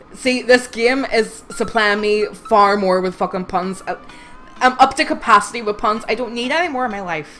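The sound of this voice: Over music in the background, a woman with a fairly high pitch speaks at a moderate pace with hardly any pauses and ordinary pitch variation.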